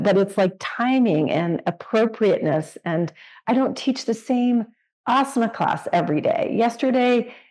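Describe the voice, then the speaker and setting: A woman's dark, mellow voice at a moderate pace, with very wide pitch swings. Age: 60s. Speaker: podcast host and yoga teacher. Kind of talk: interview conversation. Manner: halting.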